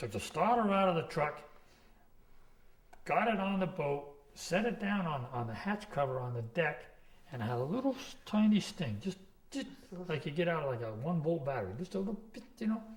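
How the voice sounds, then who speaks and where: This man, with an American accent, speaks at a high pitch with very wide pitch swings and long, frequent pauses. Audible room echo surrounds his voice. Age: 60s. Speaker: commercial fisherman. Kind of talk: oral history interview. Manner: rambling storytelling with false starts.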